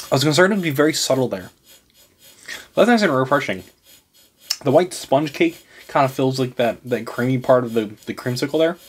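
The man's intonation is lively. He leaves long, frequent pauses. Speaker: food reviewer. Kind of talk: casual food review to camera. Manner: fast-talking. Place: home room.

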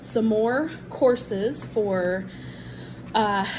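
A woman talks with ordinary pitch variation, and noticeable background noise runs underneath. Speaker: teacher vlogger. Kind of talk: casual vlog chat. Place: home room. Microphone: phone near.

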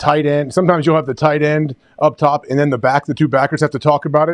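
Very fast and fairly high in pitch, a man's voice sounds dry and close with no echo against a quiet background. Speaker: sports show co-host. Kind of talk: casual sports talk.

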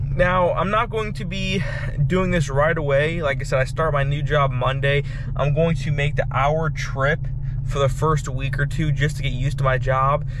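This man's voice has a dry sound with no echo, over noticeable background noise. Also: moderate pace. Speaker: vlogger. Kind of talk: casual vlog chat. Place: car. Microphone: phone near.

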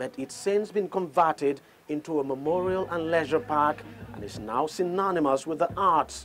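Speaking at a fairly high pitch, a man has a fairly bright tone. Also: lively intonation, moderate pace.

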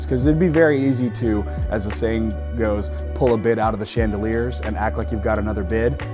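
Very fast talk from a man with a fairly low pitch and very wide pitch swings, over clear background music. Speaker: certified auctioneer and personal property appraiser. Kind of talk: business owner interview answer. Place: factory. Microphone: lapel.

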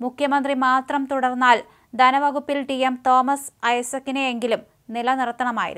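The tone is clear, smooth and fairly bright. Intonation stays fairly even. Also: woman, high pitch for a woman, moderate pace.

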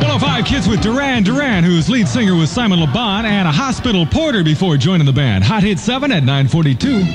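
Over noticeable background noise, the speech races at a very fast pace with hardly any pauses and very wide pitch swings. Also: man, high pitch for a man. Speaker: radio DJ. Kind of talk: live radio DJ patter. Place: booth. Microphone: old recording.

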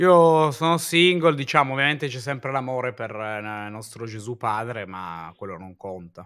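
Speaking at a moderate pace with hardly any pauses, a man shows big swings in loudness. The background is quiet. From Turin, northern Italy; northern Italy. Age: 30s. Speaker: streamer. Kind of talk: casual chat. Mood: relaxed, playful. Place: home room. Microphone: video call.

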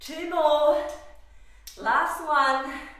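Strong room echo surrounds this recording. A woman speaks in a high pitch. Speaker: fitness instructor. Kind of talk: workout instruction. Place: gym. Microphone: camera far.

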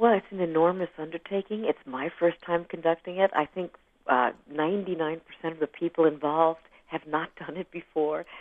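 A woman with a normal speaking voice, fairly low pitch and fairly even intonation speaks at a moderate pace, the sound dry with no echo and the background quiet. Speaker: guest. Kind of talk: interview answer. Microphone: phone line.

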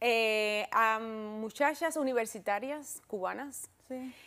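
A woman's bright, sharp tone over a quiet background. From Cuba. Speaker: talk show host. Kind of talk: interview. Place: studio. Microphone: lapel.

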